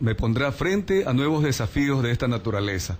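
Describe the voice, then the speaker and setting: A man speaks at a fairly quick pace in a plain, everyday voice, with medium pitch and lively intonation. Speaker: radio interviewer. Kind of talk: radio interview. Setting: radio studio.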